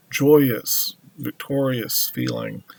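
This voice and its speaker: Very slowly, a man speaks. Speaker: tarot reader. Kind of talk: tarot reading monologue. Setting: at home altar with music playing. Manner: slow with pauses; hesitant with fillers.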